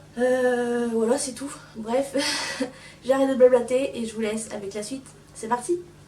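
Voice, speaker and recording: Over noticeable background noise, a woman with a high pitch speaks at a fairly slow pace, her intonation fairly even but her loudness swinging widely. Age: 20s. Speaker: pony owner. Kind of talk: vlog voice-over.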